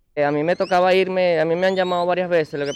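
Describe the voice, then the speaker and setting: The man's voice is high-pitched and fairly quick, with a dry, close sound and no echo. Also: quiet background. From Venezuela, Miranda. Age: 30s. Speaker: migrant volunteer. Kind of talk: interview testimony.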